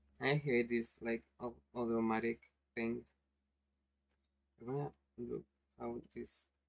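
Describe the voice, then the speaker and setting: A very slow pace with long, frequent pauses. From Spanish-speaking country. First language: Spanish. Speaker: animation streamer. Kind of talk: casual live stream chat. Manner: halting.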